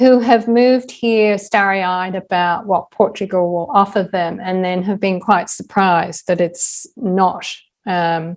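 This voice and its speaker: Against a quiet background, a woman of medium pitch speaks at a fairly slow pace with fairly even intonation. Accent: American. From Australia. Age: 60s. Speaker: author and podcaster. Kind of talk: interview conversation.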